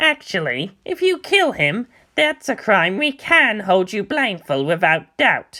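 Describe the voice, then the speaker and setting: A man puts on a character voice, pitched high. He speaks fairly slowly with very wide pitch swings. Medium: read story. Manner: sheepish.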